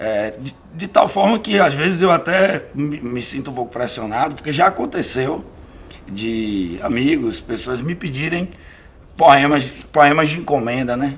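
A man with a fairly high pitch speaks fairly slowly with lively intonation and big swings in loudness. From Bahia sertão, Brazil (Uauá). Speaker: poet and lawyer. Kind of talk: interview. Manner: hesitant, with many fillers. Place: home room.

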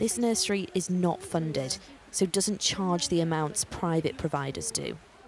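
With a British accent, a woman at a fairly low pitch speaks at a moderate pace with ordinary pitch variation and very even loudness, noticeable background noise behind her. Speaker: news reporter. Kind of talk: news report.

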